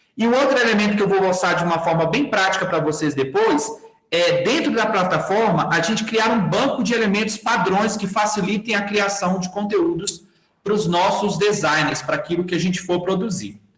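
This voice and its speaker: A man with a high pitch and ordinary pitch variation speaks at a moderate pace with very even loudness. Audible room echo comes through against a quiet background. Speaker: workshop instructor. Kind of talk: online tutorial. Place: home room.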